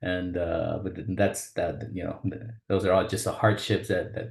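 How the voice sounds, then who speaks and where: A man with a fairly low voice speaks at a moderate pace, his intonation monotone and flat and his tone somewhat breathy. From South Texas (Rio Grande Valley). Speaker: vascular surgeon, webinar presenter. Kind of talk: webinar presentation. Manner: halting, many fillers.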